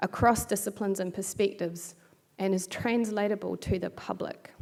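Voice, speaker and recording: A woman with a New Zealand accent speaks at a moderate pace, her medium-pitched voice dark and mellow in tone. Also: very clean recording, silent background. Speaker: bioethics researcher. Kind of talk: keynote lecture.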